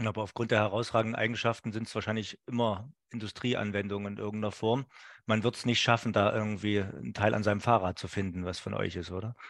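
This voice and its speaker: Over a quiet background, a man talks at a very fast pace in a fairly low voice. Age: 40s. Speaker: podcast host. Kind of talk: interview. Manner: hesitant, many fillers.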